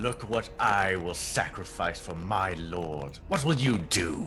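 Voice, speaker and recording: A man puts on a character voice, pitched very deep and low. He speaks at a fairly slow pace over clear background noise. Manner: shout-whispering, intense loud whisper.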